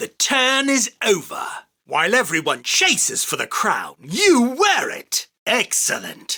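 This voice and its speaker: This man uses a put-on character voice with extremely high pitch. He talks at a fairly slow pace. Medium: dub. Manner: commanding, boastful.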